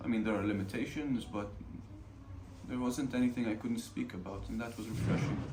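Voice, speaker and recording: Noticeable background noise sits behind a man speaking at a fairly quick pace. His medium pitch follows fairly even intonation. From Ramallah, Palestine. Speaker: film student, director and cinematographer. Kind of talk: interview answer.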